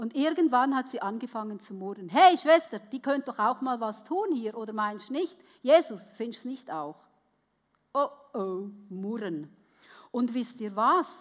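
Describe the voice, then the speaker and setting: A woman with a fairly high pitch talks at a fairly slow pace, her pitch swinging very widely and her loudness shifting a great deal, with long, frequent pauses. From Switzerland. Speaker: preacher. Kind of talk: sermon. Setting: church with audience.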